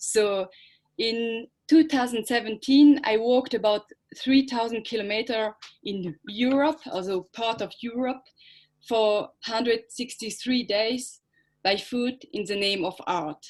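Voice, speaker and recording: Speaking with a French accent at a fairly slow pace, a woman has a fairly high pitch and ordinary pitch variation. The background is quiet. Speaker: performance artist. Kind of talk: conference presentation. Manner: halting.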